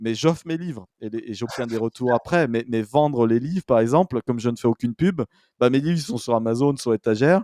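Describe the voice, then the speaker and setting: A man with a medium pitch and a dark, mellow tone talks at a moderate pace with lively intonation, in a dry, close sound with no echo on a very clean recording with a silent background. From France, Saint-Étienne. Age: 40s. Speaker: business advisor, former investment banker. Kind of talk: interview. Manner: hesitant, many fillers and restarts.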